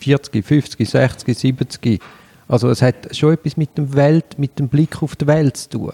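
In a dry, close recording with no echo, a man with a fairly high, dark, mellow, somewhat breathy voice speaks very slowly with fairly even intonation. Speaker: podcast host, lawyer. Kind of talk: interview. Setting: guest's place.

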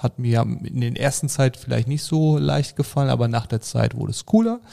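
This man's voice has a dark, mellow tone at a medium pitch, with ordinary pitch variation and a moderate pace. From Germany, Sauerland. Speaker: happiness coach. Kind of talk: podcast interview. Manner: animated.

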